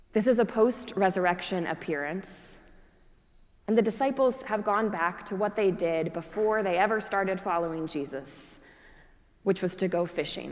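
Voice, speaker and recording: A woman with an ordinary speaking voice talks at a moderate pace, with medium pitch and ordinary pitch variation. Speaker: Episcopal priest. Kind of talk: church sermon.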